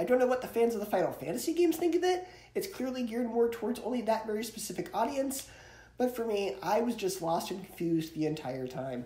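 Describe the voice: With audible room echo, a man talks at a fairly quick pace in a high pitch, his dark, mellow tone making big pitch swings.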